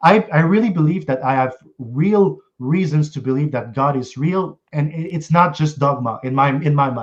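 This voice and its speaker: A man's somewhat breathy, fairly high voice at a moderate pace, with ordinary pitch variation and hardly any pauses. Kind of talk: casual debate.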